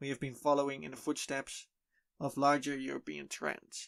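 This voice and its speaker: Speaking with a Dutch accent at a moderate pace, a man is heard on a very clean recording with a silent background. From Netherlands. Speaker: podcast host. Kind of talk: podcast monologue. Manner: halting.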